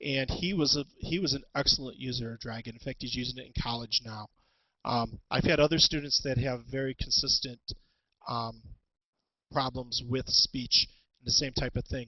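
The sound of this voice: A man's bright, sharp tone at medium pitch and a moderate pace. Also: fairly even intonation.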